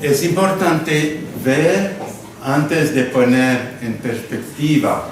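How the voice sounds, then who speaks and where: A man talks at a very slow pace with a French accent and ordinary pitch variation. There is audible room echo and noticeable background noise. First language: French (speaking Spanish). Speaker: Zen monk and physicist. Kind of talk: lecture. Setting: stage with audience. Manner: halting.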